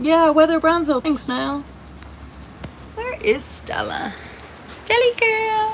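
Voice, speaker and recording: A woman at an extremely high pitch, with very wide pitch swings, a very slow pace and long, frequent pauses, over noticeable background noise. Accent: American. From Indiana. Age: 30s. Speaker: livestreamer. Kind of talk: casual live stream chat. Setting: in a camper trailer during a thunderstorm.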